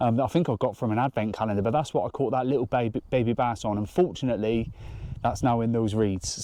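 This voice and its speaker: A very fast man's voice, medium in pitch, dark and mellow, with a British accent and ordinary pitch variation. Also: very even loudness. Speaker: fishing vlogger. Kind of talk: outdoor vlog commentary. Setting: outdoors by a lake. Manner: quiet.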